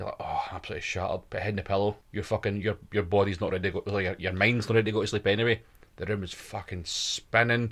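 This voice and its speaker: A man with a Scottish accent speaks very fast in a fairly low pitch. His intonation is monotone and flat, and the recording is very clean with a silent background. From Scotland. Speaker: comedy podcast co-host. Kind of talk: casual chat.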